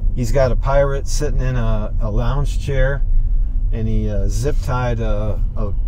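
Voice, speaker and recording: Noticeable background noise runs beneath speech delivered very slowly. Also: man. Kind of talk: casual conversation. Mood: relaxed, laughing. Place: car.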